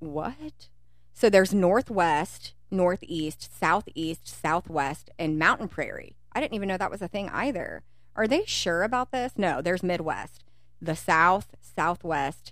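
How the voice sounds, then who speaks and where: An unremarkable speaking voice from a woman with an American accent, medium pitch, lively intonation, fairly slow pace, on a very clean recording with a silent background. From Kentucky, US. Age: 30s. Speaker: podcast co-host. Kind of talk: casual chat.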